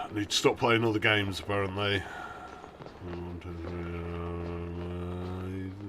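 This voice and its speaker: Through noticeable background noise, a man with a very deep, low pitch talks very slowly in a monotone, flat intonation, his loudness swinging widely. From Britain. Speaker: video game streamer. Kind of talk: live stream gameplay commentary. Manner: halting, many fillers.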